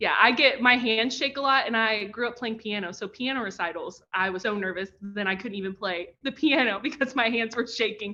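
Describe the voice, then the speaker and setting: A fairly high-pitched woman with a Kentucky accent, animated in tone and fairly quick in pace. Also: ordinary pitch variation, hardly any pauses. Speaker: professor and pitch coach. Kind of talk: online workshop presentation.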